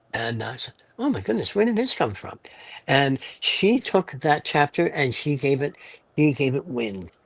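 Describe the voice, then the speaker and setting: Moving at a moderate pace, a man with a fairly high, somewhat breathy voice makes very wide pitch swings, recorded with a dry, close sound with no echo. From Montreal, Canada. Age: 70s. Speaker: novelist. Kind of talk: interview. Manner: animated.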